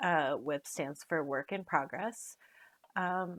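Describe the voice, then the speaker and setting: A woman with an American accent speaks at a fairly slow pace and a fairly low pitch, with ordinary pitch variation. The recording is very clean with a silent background. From US Pacific Northwest, outside Portland, Oregon. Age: 40s. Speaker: cross stitch vlogger. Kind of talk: casual hobby vlog. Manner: hesitant, many fillers.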